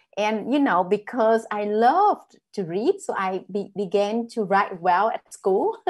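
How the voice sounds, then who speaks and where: In a Vietnamese accent, the speaker moves at a fairly slow pace with ordinary pitch variation. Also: woman, fairly high pitch for a woman, hardly any pauses. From northern Vietnam. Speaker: author. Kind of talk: panel discussion. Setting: video call.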